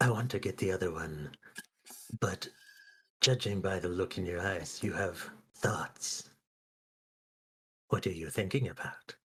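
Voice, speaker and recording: Using a put-on character voice, a man speaks in a very deep, low pitch at a moderate pace with long, frequent pauses. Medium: actual play. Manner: curious, inquisitive.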